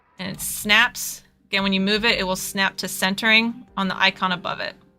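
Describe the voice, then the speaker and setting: A woman's medium-pitched, monotone voice with flat intonation at a fairly quick pace, music in the background. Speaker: cosplayer giving a design tutorial. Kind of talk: livestream tutorial. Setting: livestream with screen share. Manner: fast; casual, conversational.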